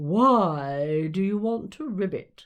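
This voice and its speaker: The pitch is in the middle range. The voice is a put-on character. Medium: read story. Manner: huffy, puffing.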